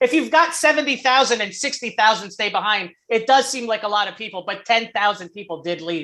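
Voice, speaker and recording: In an unremarkable speaking voice, a woman with an American accent talks fairly quickly at a fairly high pitch, with lively intonation, hardly any pauses and big swings in loudness. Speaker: football podcast co-host. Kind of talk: casual chat.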